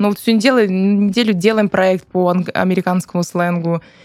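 A woman with an ordinary speaking voice talks at a fairly quick pace with fairly even intonation. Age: 30s. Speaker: podcast co-host, psychotherapist. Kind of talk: casual chat.

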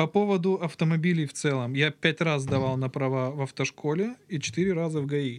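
In a plain, everyday voice, a man talks at a fairly high pitch and a fairly quick pace, with ordinary pitch variation and hardly any pauses. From southern Russia, Krasnodar region. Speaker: podcast guest. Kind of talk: casual chat. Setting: studio.

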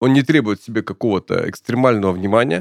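Dry and close with no echo, the sound carries a man's voice. He speaks at a very fast pace with lively intonation. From Urals, Russia. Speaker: podcast host. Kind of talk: interview. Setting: studio.

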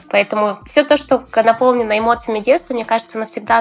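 A woman's fairly high pitch against noticeable background noise. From Russia, Tver (childhood), mostly Krasnodar. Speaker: energy coach and self-discovery teacher. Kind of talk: casual interview.

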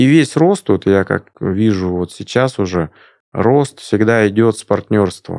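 A man speaks with lively intonation. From Siberia, Krasnoyarsk. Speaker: entrepreneur. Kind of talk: interview. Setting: studio.

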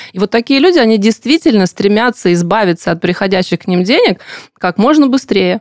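A woman speaks in a normal speaking voice at a medium pitch, with lively intonation and a fairly quick pace. The sound is dry and close, with no echo. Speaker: podcast host. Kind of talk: interview about personal finance.

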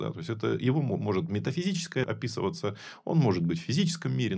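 Very fast and full of vocal fry, a man's speech has very wide pitch swings. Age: 40s. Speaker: food company co-owner and executive. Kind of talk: casual chat.

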